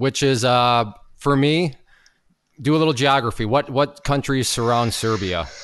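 At a moderate pace, a man with a plain, everyday voice talks at medium pitch with ordinary pitch variation. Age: 30s. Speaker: podcast host. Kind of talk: casual interview.

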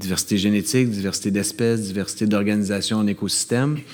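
A normal speaking voice from a man, fairly low in pitch, at a fairly quick pace. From Quebec, Montreal suburbs. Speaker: ecological economics professor and bassist. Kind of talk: live interview before audience. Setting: stage with audience.

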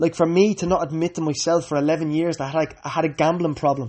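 This man speaks fairly quickly in a Dublin accent. His pitch is fairly high and his intonation monotone and flat. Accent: Dublin Irish. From Ireland, Dublin. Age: 20s. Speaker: podcaster. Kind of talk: personal testimony.

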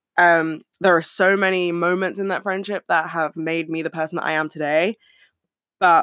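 The speaker has a British accent and talks at a fairly quick pace. The recording is very clean, with a silent background. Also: woman. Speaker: podcast host. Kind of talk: casual solo chat. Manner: fast; animated.

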